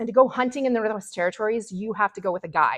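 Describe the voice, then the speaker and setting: A woman's animated, lively-toned delivery in a dry, close sound with no echo. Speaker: river guide and speaker. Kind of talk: public talk. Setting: stage with audience, microphone. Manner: loud.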